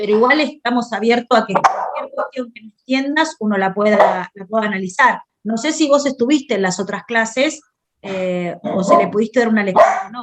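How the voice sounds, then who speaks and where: A woman with a fairly high pitch, lively intonation and big swings in loudness. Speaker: teacher. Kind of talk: online class. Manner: fast.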